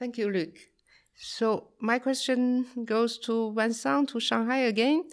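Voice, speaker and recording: On a very clean recording with a silent background, a woman speaks very slowly at a fairly high pitch with ordinary pitch variation. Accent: Chinese. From China, Qingdao. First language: Chinese. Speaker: trade advisor, co-host. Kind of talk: podcast interview.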